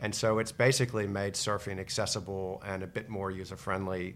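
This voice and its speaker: A man speaks with an American accent at a fairly low pitch, in an ordinary speaking voice. His pace is moderate and his intonation fairly even. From United States. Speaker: investment company co-founder. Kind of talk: casual interview about investing.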